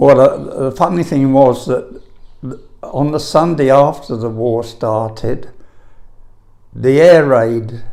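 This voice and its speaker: Speaking very slowly in a London accent, a man has a dark, mellow tone. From London (Camberwell). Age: 80s+. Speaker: elderly eyewitness answering school children's questions. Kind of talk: oral history interview. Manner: halting, with frequent repetitions.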